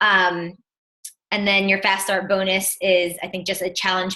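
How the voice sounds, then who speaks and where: A woman with a New Jersey accent talks at a fairly slow pace, her medium pitch held in a monotone, flat intonation. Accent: New Jersey American. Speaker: fitness business coach. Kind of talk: online team presentation.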